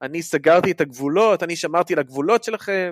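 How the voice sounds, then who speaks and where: A man's high-pitched voice with ordinary pitch variation, in a dry, close sound with no echo. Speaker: podcast co-host, academic. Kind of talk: casual chat.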